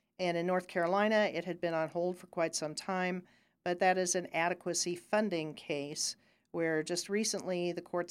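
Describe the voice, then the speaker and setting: A woman's normal speaking voice, fairly low in pitch, with an American accent and fairly even intonation, in a very clean recording with a silent background. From Ohio. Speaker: lawyer. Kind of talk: casual interview.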